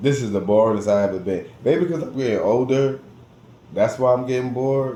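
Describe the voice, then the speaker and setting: With an American accent, a man speaks at a moderate pace amid audible room echo. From New Jersey, US. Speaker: vlogger. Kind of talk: casual monologue vlog. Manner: animated, repetitive.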